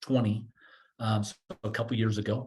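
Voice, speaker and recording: With monotone, flat intonation, a man's somewhat breathy voice sits at a medium pitch. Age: 60s. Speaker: financial coaching company founder. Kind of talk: podcast interview. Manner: halting, many repeated words and fillers.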